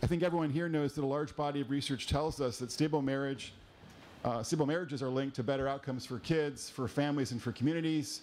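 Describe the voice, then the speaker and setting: A man speaks at a very fast pace. His intonation stays fairly even. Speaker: panel moderator. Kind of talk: moderator introduction. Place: hall.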